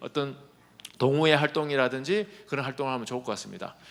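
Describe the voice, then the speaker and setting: This is a man's voice. His delivery comes fairly quickly. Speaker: professor. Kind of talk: conference presentation. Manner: fast; clear articulation.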